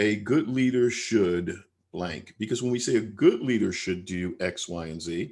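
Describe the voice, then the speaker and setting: In a plain, everyday voice, a man with an American accent speaks at a fairly slow pace, his fairly low pitch showing ordinary variation. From US Northeast. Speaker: leadership trainer. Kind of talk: webinar presentation. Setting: online webinar.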